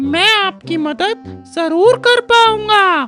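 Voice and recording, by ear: A man does a put-on character voice at an extremely high pitch. Faint music plays in the background.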